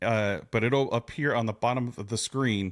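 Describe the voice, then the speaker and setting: A man speaks at a moderate pace and a medium pitch, with a plain, everyday voice. The recording is very clean, with a silent background. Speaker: podcast host, woodworker. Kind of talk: casual podcast conversation.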